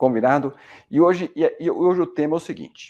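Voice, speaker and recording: Lively intonation and a dark, mellow tone mark this man's speech, delivered at a moderate pace. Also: quiet background. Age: 50s. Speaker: medical doctor. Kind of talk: educational talk. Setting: screen-shared video presentation.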